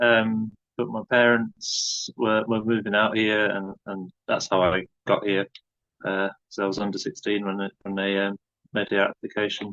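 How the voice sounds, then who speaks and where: In a dry, close recording with no echo, a man speaks at a moderate pace in a fairly low pitch, with a bright, sharp tone and monotone, flat intonation. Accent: northern English. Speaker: bush school founder. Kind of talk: interview.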